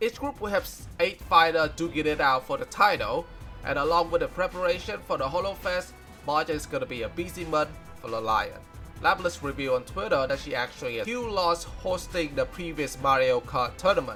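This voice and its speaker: Music plays in the background. A man with a non-native accent speaks at a fairly quick pace. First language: non-native English speaker. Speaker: fan news presenter. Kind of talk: news recap narration.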